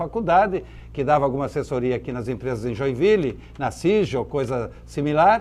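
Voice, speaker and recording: A man speaks with very wide pitch swings. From southern Brazil, Santa Catarina (Blumenau valley). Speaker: businessman. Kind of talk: interview.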